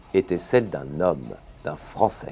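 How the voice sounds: A man at a fairly slow pace, with big pitch swings and a dark, mellow tone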